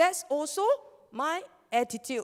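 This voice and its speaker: Speaking with a Malaysian accent, a woman uses an extremely high pitch that swings very widely. Her pace is fairly slow. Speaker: network marketing leader and scientific researcher. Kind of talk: motivational seminar talk.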